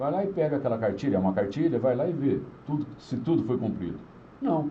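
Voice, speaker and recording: Audible room echo surrounds a man who talks at a very fast pace with a fairly high pitch and very wide pitch swings. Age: 60s. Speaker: radio broadcaster and former city councillor. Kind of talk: casual interview.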